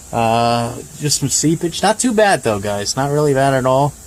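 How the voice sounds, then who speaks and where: A man at a fairly high pitch with ordinary pitch variation and a moderate pace, plus noticeable background noise. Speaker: car reviewer. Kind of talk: walkaround car review. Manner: casual, hesitant with many fillers.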